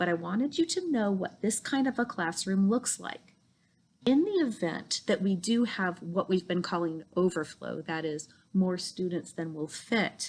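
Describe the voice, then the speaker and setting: This woman has an ordinary speaking voice, pitched in the middle range, with ordinary pitch variation at a moderate pace. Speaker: school principal. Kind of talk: school video tour. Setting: school campus, indoors.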